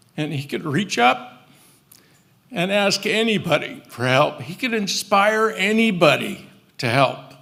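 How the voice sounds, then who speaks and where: A man's high-pitched, raised and projected voice at a fairly slow pace, with very wide pitch swings. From California Central Valley (Merced). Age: 70s. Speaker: eulogy speaker, family friend. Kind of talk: eulogy at memorial service. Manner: halting, with fillers.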